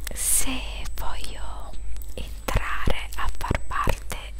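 A soft-spoken woman over loud background noise. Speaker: video creator. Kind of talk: casual vlog chat. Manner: soft-spoken ASMR murmur. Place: home room. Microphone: headset.

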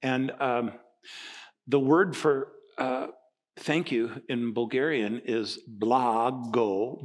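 A man speaking very slowly against a quiet background. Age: 60s. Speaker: pastor. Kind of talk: sermon. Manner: animated. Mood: humorous, animated. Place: church.

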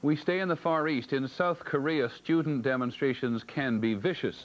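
Medium-pitched with ordinary pitch variation, a man speaks at a moderate pace.

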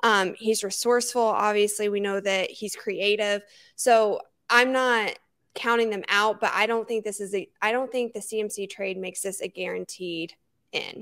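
Against a quiet background, a woman speaks at a moderate pace with monotone, flat intonation. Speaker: sports podcast co-host. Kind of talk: casual chat. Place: home room. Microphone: handheld.

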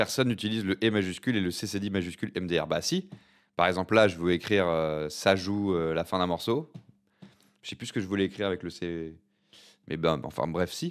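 Against a silent background on a very clean recording, a man with a very deep, low voice talks at a fairly quick pace in an animated tone, with long, frequent pauses. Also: ordinary pitch variation. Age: 40s. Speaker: streamer. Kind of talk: casual live stream chat.

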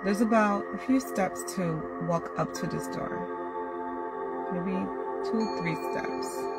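The speech moves at a very slow pace with long, frequent pauses, over loud music in the background. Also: woman. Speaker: guided meditation host. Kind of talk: guided meditation. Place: car. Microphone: phone near.

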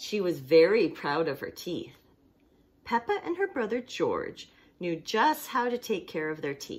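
A woman's voice at a moderate pace, with very wide swings in pitch and a creaky vocal fry. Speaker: storytime reader, teacher. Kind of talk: reading a children's story aloud. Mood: warm, cheerful, animated. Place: home room. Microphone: phone near.

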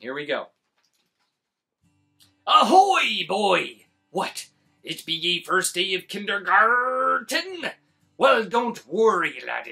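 Faint music plays behind a man doing a put-on character voice, high-pitched and very slow, with long, frequent pauses. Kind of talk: read-aloud story for kids. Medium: read story. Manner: gruff, blustery.

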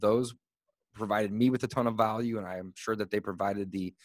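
A man with a plain, everyday voice speaks fairly quickly at a medium pitch with fairly even intonation. The sound is dry with no echo, and the background is quiet. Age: 30s. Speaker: real estate investor and podcast host; podcast host. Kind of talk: casual interview. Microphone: studio mic.

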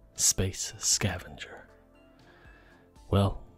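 A man speaks softly. Music plays in the background. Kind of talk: ASMR gameplay commentary. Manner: soft-spoken.

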